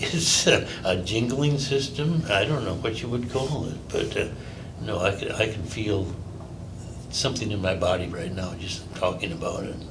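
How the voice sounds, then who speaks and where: A man's fairly low voice at a moderate pace, lively in intonation, with audible room echo and noticeable background noise. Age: 80s+. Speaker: testimonial giver, acupuncture patient. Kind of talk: testimony. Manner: halting, many fillers.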